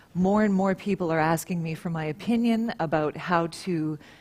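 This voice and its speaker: This woman has a normal speaking voice, pitched fairly low. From Canada. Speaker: professional telephone voice. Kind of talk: conference talk.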